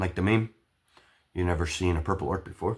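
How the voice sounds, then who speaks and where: Somewhat breathy, a man's very deep, low voice moves with ordinary pitch variation. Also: very clean recording, silent background. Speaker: hobbyist model builder. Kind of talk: casual build-along chat. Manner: hesitant, many fillers.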